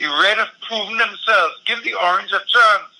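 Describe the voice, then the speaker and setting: A man's raised, projected voice, high in pitch, at a moderate pace over noticeable background noise. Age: 60s. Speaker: environmental activist. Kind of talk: political discussion.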